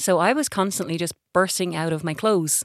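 In an ordinary speaking voice, a woman of fairly low pitch talks with ordinary pitch variation, the dry, close sound with no echo captured on a very clean recording with a silent background. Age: 40s. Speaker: patient advocacy director. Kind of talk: casual chat.

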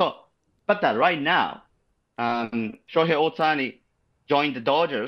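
On a very clean recording with a silent background, a man with a Japanese accent and a fairly high pitch uses lively intonation at a fairly slow pace with long, frequent pauses. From Japan, Shizuoka. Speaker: podcast guest, amateur softball player. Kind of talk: casual chat. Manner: halting.

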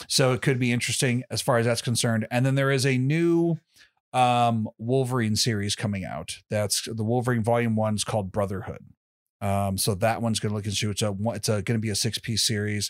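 A man with an American accent talks at a fairly quick pace in a normal speaking voice, at a medium pitch with ordinary pitch variation, on a very clean recording over a silent background. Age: 30s. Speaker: podcast host. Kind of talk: casual chat.

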